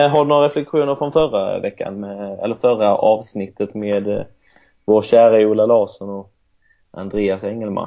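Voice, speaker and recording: A man with a Swedish accent. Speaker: podcast co-host, football coach. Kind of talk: casual chat.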